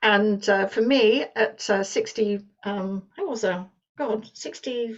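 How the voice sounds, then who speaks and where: A woman with a British accent speaks at a fairly slow pace in a fairly high voice. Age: 60s. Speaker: business presenter. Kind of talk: sales pitch. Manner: halting.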